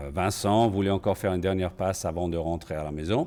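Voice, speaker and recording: A man talks at a fairly quick pace with a very deep, low pitch and ordinary pitch variation. The recording is very clean, with a silent background. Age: 60s. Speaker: patient, cardiac arrest survivor. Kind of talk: testimony. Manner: halting, with hesitations.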